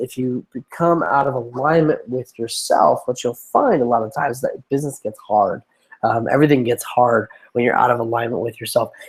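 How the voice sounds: A put-on character voice comes through raspy. It moves at a fairly quick pace. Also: man, medium pitch for a man.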